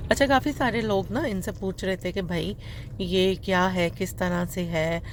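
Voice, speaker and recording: A woman speaks at medium pitch with ordinary pitch variation. Vocal fry runs through her voice. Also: fairly slow pace. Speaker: vlogger. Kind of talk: casual vlog voice-over. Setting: voice-over recorded later. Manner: fumbling words.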